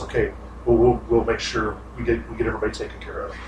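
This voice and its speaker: Over clear background noise, a man rattles off a put-on character voice at a very fast pace. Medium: actual play.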